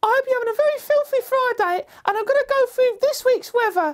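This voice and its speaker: A woman puts on a squeaky character voice. Her pitch varies in an ordinary way. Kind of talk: deadpan comic weather report. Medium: comedy sketch. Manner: earnest, rambling.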